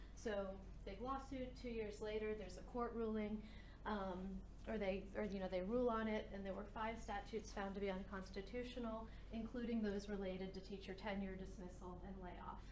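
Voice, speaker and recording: A woman with an American accent speaks at a medium pitch and a fairly quick pace in a monotone, flat intonation, with audible room echo and noticeable background noise. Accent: sounds New Jersey when projecting. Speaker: education policy researcher. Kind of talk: lecture. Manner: conversational, with fillers. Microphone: a little quiet on stream.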